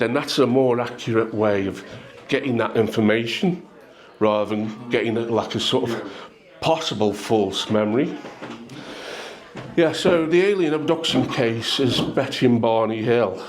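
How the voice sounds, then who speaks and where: A man at medium pitch, moderate pace and ordinary pitch variation, with long, frequent pauses and noticeable background noise. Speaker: hypnotist, public speaker. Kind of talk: casual talk to a pub audience.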